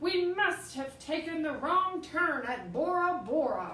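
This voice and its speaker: A woman's put-on character voice, extremely high in pitch, with slight echo. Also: fairly slow pace. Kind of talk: children's picture book read-aloud. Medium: read story. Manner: loud, blustering pirate talk.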